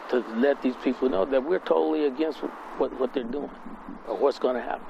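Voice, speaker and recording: Over noticeable background noise, a man speaks at a fairly quick pace with a fairly high pitch. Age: 70s. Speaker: local resident, retired city worker. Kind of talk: interview. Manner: halting, many fillers.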